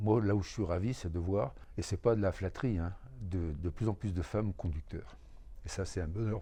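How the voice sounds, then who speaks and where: Somewhat breathy and dark and mellow in tone, a man's very deep, low voice moves at a moderate pace. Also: ordinary pitch variation. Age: 70s. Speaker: retired truck driver, temp worker. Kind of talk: interview testimony.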